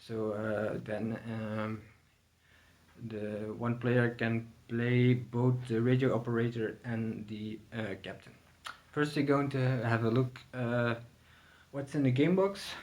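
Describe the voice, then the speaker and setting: Speaking very slowly with a non-native accent, a man holds a medium pitch and fairly even intonation. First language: not English. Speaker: board game reviewer. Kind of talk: tutorial. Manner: hesitant, many fillers. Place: home room. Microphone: camera far.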